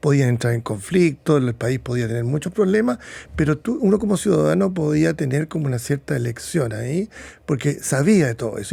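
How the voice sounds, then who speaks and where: A somewhat breathy man with a dark, mellow tone talks at a fairly quick pace. His pitch swings very widely in a very clean recording with a silent background. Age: 70s. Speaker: psychiatrist. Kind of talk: interview.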